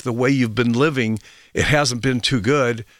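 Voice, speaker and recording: In a very clean recording with a silent background and a dry, close sound with no echo, a man speaks in an animated tone with ordinary pitch variation. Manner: rambling, hesitant, chatty with filler words; animated, wry, joking with guest.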